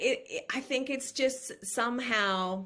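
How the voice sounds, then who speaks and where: A woman with an American accent speaks in a raised, projected voice with a bright, sharp tone. The recording is very clean, with a silent background. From Australia, New South Wales. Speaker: former model. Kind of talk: podcast interview. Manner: halting, with many restarts.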